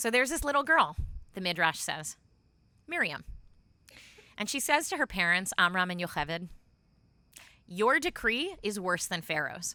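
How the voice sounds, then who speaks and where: In a very clean recording with a silent background, a bright, sharp voice moves at a moderate pace through very wide pitch swings, with long, frequent pauses. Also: woman, medium pitch for a woman. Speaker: rabbi. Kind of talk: sermon delivered to a congregation.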